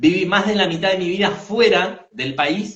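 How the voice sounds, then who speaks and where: A man with an Argentine accent. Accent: Argentine Spanish (rioplatense voseo). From Argentina, Bariloche. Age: 40s. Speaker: therapist. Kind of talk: interview.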